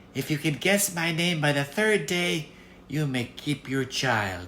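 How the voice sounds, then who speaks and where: Against clear background noise, a put-on character voice moves at a fairly slow pace with a low-to-middle pitch. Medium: read story. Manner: bargaining.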